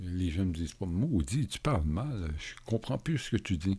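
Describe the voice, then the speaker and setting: A man talks at a fairly slow pace in a very deep, low voice with a dark, mellow, somewhat breathy tone and ordinary pitch variation. The recording is very clean, with a silent background. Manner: quiet, almost whispered.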